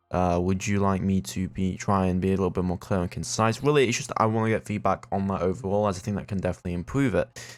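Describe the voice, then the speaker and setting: Music plays in the background as a man with a British accent speaks. His voice is fairly low and his pace very fast. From Britain. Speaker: gaming YouTuber. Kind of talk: let's play commentary; scripted in-character narration. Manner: halting, many fillers.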